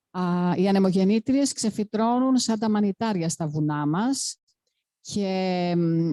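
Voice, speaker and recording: A dark, mellow voice in a Greek accent at a moderate pace, with ordinary pitch variation and a dry, close sound with no echo. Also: woman. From Greece. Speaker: panel speaker, activist. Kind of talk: panel talk. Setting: panel event with audience.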